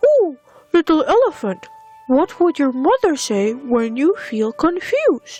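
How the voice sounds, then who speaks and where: A put-on character voice moves at a fairly slow pace. Faint music plays in the background. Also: woman. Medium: read story. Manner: calm, soothing.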